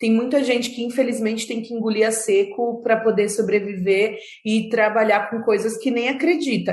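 Over audible room echo, a woman talks at a fairly quick pace and a fairly high pitch. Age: 30s. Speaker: psychologist and social entrepreneur. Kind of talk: interview conversation.

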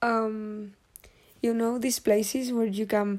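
With a Spanish accent, a woman speaks at a very slow pace in a dark, mellow tone with ordinary pitch variation, recorded very cleanly against a silent background. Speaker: podcaster. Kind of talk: casual monologue. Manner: halting, many fillers.

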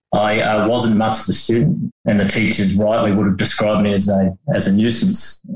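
A man talks at a moderate pace and a fairly low pitch, with little pitch movement. Audible room echo surrounds his voice.

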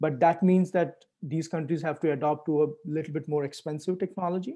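A man with an Indian accent, high-pitched with a dark, mellow tone, at a moderate pace. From India, Delhi. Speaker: clean energy entrepreneur. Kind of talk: interview.

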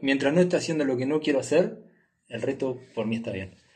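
Somewhat breathy, a man speaks very fast with lively intonation. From Uruguay. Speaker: travel entrepreneur. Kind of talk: casual interview. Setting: in person, recording in Nepal.

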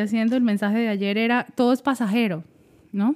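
The intonation is fairly even. It is a normal speaking voice. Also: woman. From Venezuela, Caracas. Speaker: social media consultant. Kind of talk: casual interview. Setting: in person, same room.

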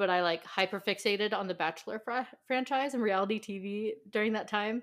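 A woman with an American accent speaks at a medium pitch and a fairly quick pace, her intonation fairly even. The recording is very clean, with a silent background. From southern California. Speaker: pop culture podcaster. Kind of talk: casual chat.

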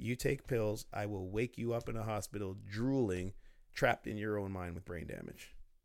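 An ordinary speaking voice at a moderate pace, with fairly even intonation, in a very clean recording against a silent background. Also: man, fairly low pitch for a man. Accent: Canadian. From Ontario, Canada (Oshawa). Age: 40s. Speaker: entrepreneur and personal development coach. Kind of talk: casual interview conversation.

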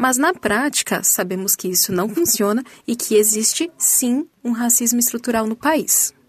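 In an unremarkable speaking voice, the speaker goes at a fairly slow pace with hardly any pauses and ordinary pitch variation. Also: woman, fairly high pitch for a woman. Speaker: student reporter. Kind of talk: news report.

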